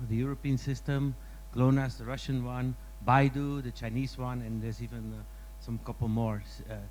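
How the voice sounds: A man talks at a medium pitch and a moderate pace. He makes few pauses, and his pitch moves little.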